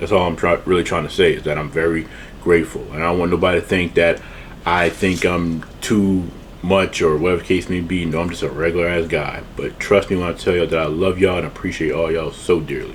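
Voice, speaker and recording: Through noticeable background noise, a man with a very deep, low pitch speaks at a very fast pace in monotone, flat intonation. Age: 30s. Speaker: food YouTuber doing mukbang. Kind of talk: casual vlog outro. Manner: rambling, repetitive stammering.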